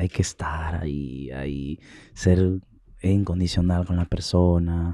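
A man's very deep, low voice with a dark, mellow tone, very slow pace and fairly even intonation, dry with no echo against a quiet background. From Peru. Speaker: singer; guest. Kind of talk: interview. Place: studio. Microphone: studio mic.

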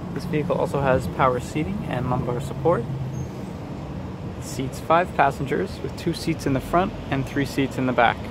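There is noticeable background noise behind a man speaking at a moderate pace. His pitch varies an ordinary amount, and the sound is dry with no echo. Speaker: car salesperson. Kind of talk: vehicle walkaround presentation. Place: street. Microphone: phone near.

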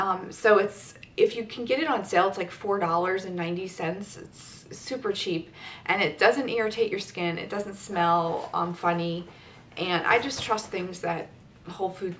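Light background noise sits behind a woman speaking at a fairly slow pace. Her pitch varies in an ordinary way, while her loudness swings widely. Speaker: beauty vlogger. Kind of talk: casual vlog chat. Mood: chatty, upbeat. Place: home room. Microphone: camera far.

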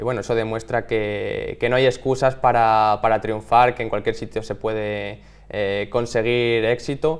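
A man speaks at a fairly slow pace with hardly any pauses, his intonation monotone and flat. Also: medium pitch for a man. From Spain, Salamanca province; Spain. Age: 20s. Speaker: athlete; interviewee. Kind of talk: interview. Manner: halting, with many repeated words. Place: studio.

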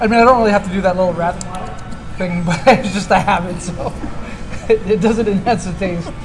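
A high-pitched man at a fairly quick pace, fairly even in intonation, over noticeable background noise. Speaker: beer tasting host. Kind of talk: casual tasting commentary. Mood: relaxed, jokey. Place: bar.

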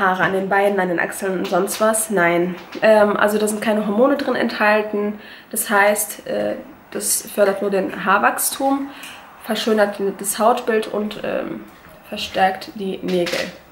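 A woman at a fairly slow pace, with audible room echo and light background noise. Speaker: beauty vlogger. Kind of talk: casual vlog product review. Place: kitchen. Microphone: phone near.

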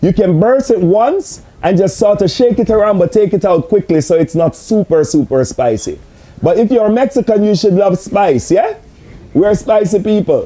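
Using lively intonation, a man talks at a moderate pace in a high pitch. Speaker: host answering remote viewer. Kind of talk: casual explanation answering questions. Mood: friendly, joking. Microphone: camera far.

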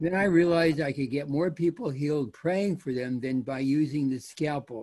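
A man talks at a moderate pace with a fairly high pitch and ordinary pitch variation. His voice is somewhat breathy, with a dark, mellow tone. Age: 80s+. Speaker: retired neurosurgeon; guest. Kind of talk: testimony. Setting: video call. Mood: earnest faith testimony. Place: home room. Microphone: video call.

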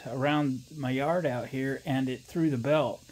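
At a moderate pace, a man delivers his words. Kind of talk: casual repair vlog narration. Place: garage.

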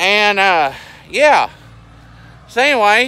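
A man's raised, projected voice, high in pitch with ordinary pitch variation and a Southern US accent, dry sound with no echo and light background noise. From US South. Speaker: farmer and video blogger. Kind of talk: casual vlog narration. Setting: outdoors. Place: open country. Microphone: phone near.

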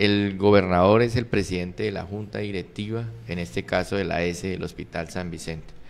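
Pitch shifts in an ordinary way while the speech keeps a moderate pace. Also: man, very deep, low pitch for a man. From Colombia, Arauca department; Colombia. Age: 40s. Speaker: political candidate; candidate. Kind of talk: interview; interview answer. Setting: studio. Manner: halting. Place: studio. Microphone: studio mic.

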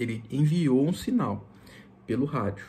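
A man speaks at a fairly slow pace in a somewhat breathy voice with lively intonation. Light background noise can be heard. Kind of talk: tutorial. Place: home room. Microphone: phone near.

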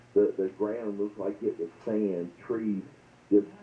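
Through audible room echo, a man speaks at a fairly low pitch with fairly even intonation. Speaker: radio caller. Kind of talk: personal story told to host. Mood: earnest, recounting strange dreams.

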